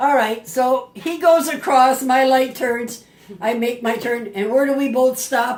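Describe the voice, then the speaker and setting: In an American accent, a woman speaks at a fairly slow pace with a high pitch and ordinary pitch variation, over noticeable background noise. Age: 80s+. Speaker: grandmother telling family stories. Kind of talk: casual storytelling at family party. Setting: family birthday party. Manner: animated.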